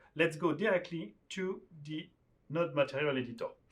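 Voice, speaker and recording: A French accent colors the speech. The voice belongs to a man. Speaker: software developer teaching a tool. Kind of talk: screen-share tutorial.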